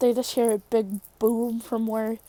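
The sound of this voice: What you hear is a reading voice that sounds unforced.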